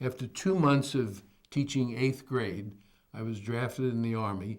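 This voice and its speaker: This man has a medium-pitched voice and a New York accent. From New York City, the Bronx. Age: 80s+. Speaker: retired educator. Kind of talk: oral history interview.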